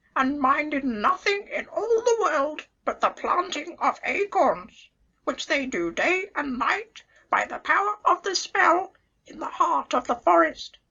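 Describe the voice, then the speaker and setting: In a put-on character voice, the speaker talks at a fairly slow pace with a high pitch. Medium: read story. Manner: chatty, knowing.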